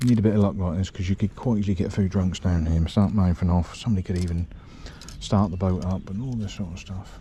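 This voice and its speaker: Whispering at a very fast pace, a man talks. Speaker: angling vlogger. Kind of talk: outdoor fishing vlog. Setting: outdoors.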